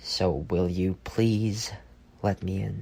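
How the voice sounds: A man uses a put-on character voice, low in pitch with vocal fry and a slightly husky edge. He talks at a slow pace with fairly even intonation and a slightly mellow tone.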